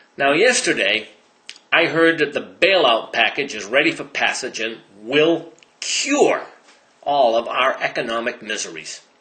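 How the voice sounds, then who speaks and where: Man with an American accent, fairly high pitch, lively intonation and fairly slow pace, against noticeable background noise. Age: 60s. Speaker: sales and marketing consultant. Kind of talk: opinion monologue.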